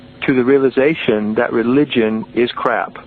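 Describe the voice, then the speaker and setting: A man speaks with fairly even intonation amid noticeable background noise. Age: 60s. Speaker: author and mystical teacher. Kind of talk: podcast interview.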